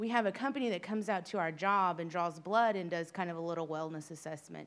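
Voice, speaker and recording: A woman speaks at a fairly quick pace with a medium pitch and ordinary pitch variation, in a plain, everyday voice. The recording is very clean, with a silent background. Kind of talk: testimony. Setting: church.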